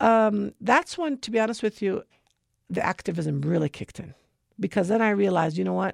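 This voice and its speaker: A woman talks at a fairly quick pace in a normal speaking voice with an American accent and lively intonation. The sound is dry and close, with no echo. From United States. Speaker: educator and tutoring business founder. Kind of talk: radio interview.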